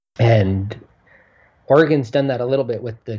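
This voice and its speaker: A somewhat breathy man with ordinary pitch variation. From Southeast Alaska. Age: 30s. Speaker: healthcare entrepreneur. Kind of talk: interview.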